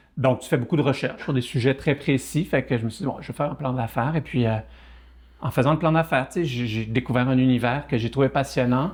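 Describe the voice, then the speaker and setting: A man talks at a very fast pace with a medium pitch. His voice is somewhat breathy, and its pitch varies in an ordinary way. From Quebec (Saguenay) and France (Burgundy). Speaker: entrepreneur. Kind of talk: podcast interview. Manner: hesitant, many fillers and repetitions.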